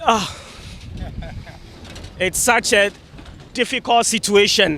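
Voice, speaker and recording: A shaky male voice at a high pitch moves at a very slow pace with ordinary pitch variation. Noticeable background noise sits behind it. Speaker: news reporter. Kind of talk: live field report.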